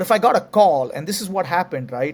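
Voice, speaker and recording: A man with an Indian accent is heard on a very clean recording with a silent background. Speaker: tech company CEO. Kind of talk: interview.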